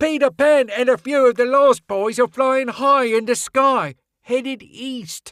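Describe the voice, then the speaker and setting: A man puts on a character voice at an extremely high pitch. He speaks at a fairly slow pace. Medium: read story. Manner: stammering, hesitant.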